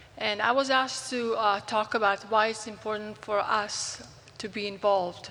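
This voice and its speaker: A woman's fairly high voice in a Croatian accent, with fairly even intonation at a moderate pace, over noticeable background noise and audible room echo. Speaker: physician. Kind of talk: conference talk. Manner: halting.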